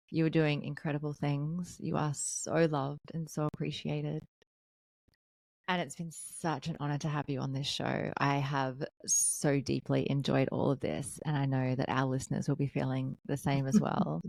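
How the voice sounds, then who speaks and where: A woman's raspy, put-on character voice, very deep and low in pitch, at a moderate pace in a very clean recording with a silent background. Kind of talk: heartfelt, appreciative podcast outro. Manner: calm, zen, warm.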